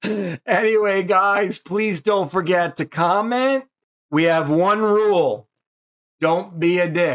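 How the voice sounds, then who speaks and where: Very slow and very even in loudness, a man speaks in a high pitch with ordinary pitch variation. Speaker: horror show host. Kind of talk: live-stream show hosting. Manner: casual, joking.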